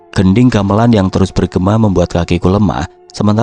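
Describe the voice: Someone reads aloud. The delivery is plain.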